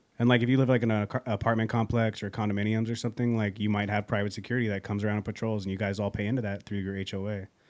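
With hardly any pauses, a man talks at a very fast pace in a fairly low pitch and a monotone, flat intonation. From San Francisco Bay Area. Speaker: game artist and podcast guest. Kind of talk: casual chat.

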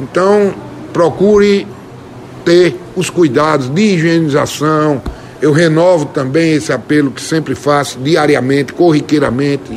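Over noticeable background noise, a man talks at a fairly slow pace in a fairly high pitch with ordinary pitch variation. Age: 50s. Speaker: state legislator. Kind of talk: radio interview.

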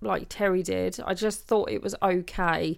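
A woman's medium-pitched voice in a very clean recording against a silent background. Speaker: podcast co-host. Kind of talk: casual chat. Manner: loud.

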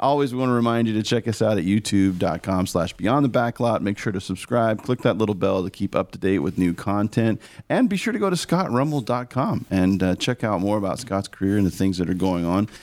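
In an unremarkable speaking voice, a man talks at a fairly quick pace with hardly any pauses. His pitch is fairly low, with ordinary variation and very even loudness. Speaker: podcast co-host.

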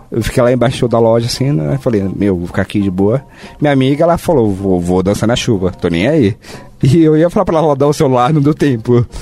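A man speaks at a fairly quick pace and medium pitch with lively intonation and very even loudness, amid noticeable background noise. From São Paulo. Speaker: software company employee. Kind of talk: casual chat.

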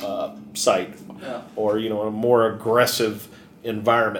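Over noticeable background noise, a man of medium pitch speaks at a fairly slow pace with an American accent. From Kentucky. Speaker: safety equipment supplier, podcast co-host. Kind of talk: casual chat.

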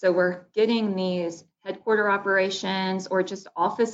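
A woman with an Alabama accent, medium pitch, ordinary pitch variation and a fairly slow pace. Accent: US Southern (Alabama). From Baldwin County, Alabama. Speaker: economic development director. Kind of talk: interview.

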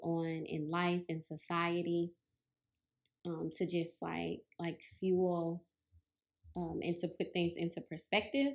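A woman talks very slowly in a Southern US accent, her pitch fairly low and her intonation flat and monotone. The recording is very clean, with a silent background. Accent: Southern drawl, noticeable. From US South, Mississippi. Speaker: yoga and meditation teacher, podcast host. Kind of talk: casual introduction monologue. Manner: halting, many fillers.

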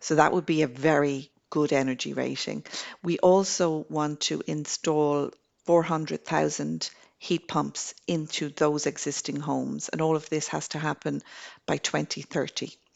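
A woman speaks in an Irish accent. Her pace is fairly slow. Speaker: government energy program coordinator. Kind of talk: interview. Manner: halting, with repetitions.

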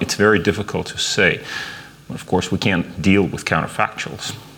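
With noticeable background noise behind him, a man talks at a moderate pace and fairly even intonation. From Russia. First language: Russian. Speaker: professor of history. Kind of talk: interview. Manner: halting.

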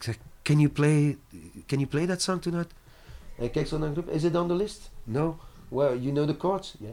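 A man with a French accent and a fairly high pitch, at a moderate pace with ordinary pitch variation and long, frequent pauses. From Brussels, Belgium. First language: French (speaking Dutch). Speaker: singer. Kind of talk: interview.

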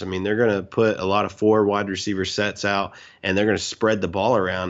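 A man with a fairly low pitch talks at a very fast pace. His intonation is monotone and flat. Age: 30s. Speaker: podcast co-host, football fan. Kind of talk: casual chat.

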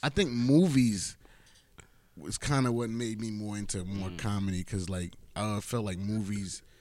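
A man with a fairly low pitch, a moderate pace, and ordinary pitch variation. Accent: New York. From Queens, New York. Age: 30s. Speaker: comedian and social media entertainer. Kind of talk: casual chat.

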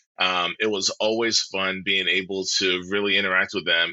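A man with an American accent talks at a moderate pace and fairly low pitch. He has an ordinary speaking voice. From US, military family (New Jersey, Kansas, Germany). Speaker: pastor. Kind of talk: casual chat.

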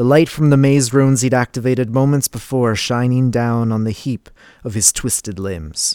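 A man's medium-pitched, dramatic delivery at a moderate pace, in a dry, close sound with no echo and a very clean recording with a silent background. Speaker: audiobook narrator. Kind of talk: audiobook reading of dark fantasy prose, scripted narration. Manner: measured, dramatic narrator pacing.

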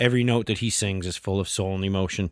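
A man with a Maritime Canadian accent and a fairly low pitch at a very fast pace, intonation fairly even, on a very clean recording with a silent background. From Nova Scotia. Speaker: podcast host, bluegrass musician. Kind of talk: casual solo podcast talk.

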